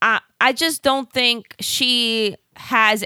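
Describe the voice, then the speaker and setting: A woman with a New York accent, her tone bright and sharp, in a dry, close sound with no echo. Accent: New York Bronx. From South Bronx, New York. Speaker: podcast co-host. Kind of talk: casual chat. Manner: banter, teasing.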